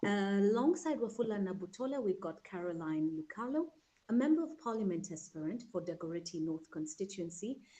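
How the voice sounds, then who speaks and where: With very wide pitch swings, a woman talks at a fairly quick pace in a medium-pitched, dark, mellow voice. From Kenya. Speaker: talk show host. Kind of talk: panel show introduction. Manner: formal.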